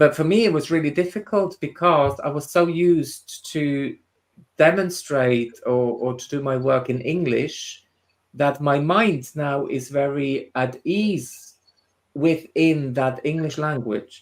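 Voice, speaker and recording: The speaker talks at a very slow pace with a Swiss German accent. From Switzerland, Swiss German part. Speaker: spiritual medium and tutor. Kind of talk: casual chat. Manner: halting.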